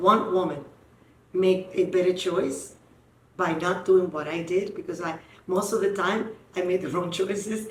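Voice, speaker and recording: At a moderate pace and medium pitch, a woman speaks with fairly even intonation over noticeable background noise and audible room echo. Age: 60s. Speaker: podcast host. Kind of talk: casual chat.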